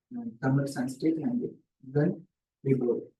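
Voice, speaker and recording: The voice is somewhat breathy with a dark, mellow tone. It moves at a fairly slow pace with fairly even intonation. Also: man. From South India, Kerala. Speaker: research scholar. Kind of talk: seminar talk. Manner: halting, with repetitions.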